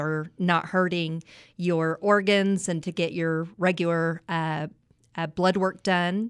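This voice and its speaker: In a West Texas accent, a woman speaks with a fairly low pitch and monotone, flat intonation on a very clean recording with a silent background. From West Texas, Midland. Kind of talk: interview. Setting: studio.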